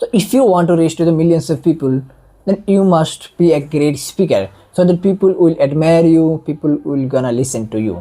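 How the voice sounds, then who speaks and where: The speaker has an Indian accent. The pace is moderate. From India, non-Hindi-speaking region. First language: Indian regional language, not Hindi. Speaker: online educator. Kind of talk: monologue tutorial.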